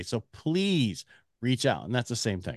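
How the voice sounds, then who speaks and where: Against a quiet background, a man's voice moves through very wide pitch swings. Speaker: mortgage CEO and radio host. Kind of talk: interview conversation. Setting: remote recording via online platform.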